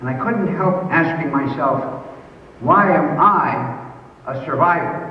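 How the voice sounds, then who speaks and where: In an American accent, speech comes very slowly with long, frequent pauses and ordinary pitch variation, amid audible room echo and noticeable background noise. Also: man, high pitch for a man. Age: 70s. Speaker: school alumnus speaker. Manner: formal.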